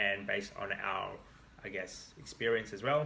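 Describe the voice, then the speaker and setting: A man with an Australian accent over noticeable background noise. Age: 30s.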